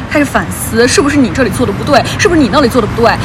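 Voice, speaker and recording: An animated tone comes through over noticeable background noise. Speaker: podcast host. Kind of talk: casual chat. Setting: outdoors by the roadside at night. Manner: animated, with tipsy outbursts.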